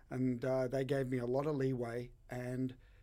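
A man with an Australian accent is speaking. His voice is medium in pitch, with a dark, mellow tone. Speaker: bartender. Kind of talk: casual interview chat.

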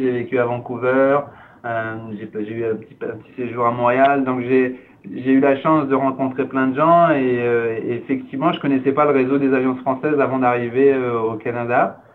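A man's flat, monotone delivery at a moderate pace. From France. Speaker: cultural organization director. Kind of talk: interview. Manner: halting.

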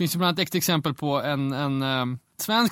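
Recorded very cleanly against a silent background, a man with an Umeå accent talks at a fairly high pitch. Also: dry, close sound with no echo. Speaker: fashion magazine editor. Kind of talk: casual interview chat.

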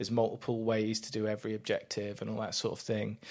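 A man with an English accent at a fairly quick pace, on a very clean recording with a silent background. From England. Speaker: podcast co-host. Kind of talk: casual chat.

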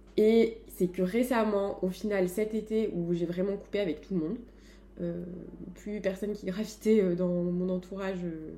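Her medium-pitched voice has a dark, mellow tone as the woman speaks at a fairly slow pace with fairly even intonation. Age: 20s. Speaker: HR manager. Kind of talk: casual chat.

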